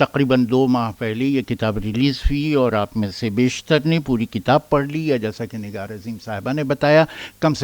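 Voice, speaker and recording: The sound is dry and close with no echo, carrying a man with an ordinary speaking voice at medium pitch and ordinary pitch variation. He keeps a moderate pace with hardly any pauses, and his loudness swings widely. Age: 60s. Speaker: author. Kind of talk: speech.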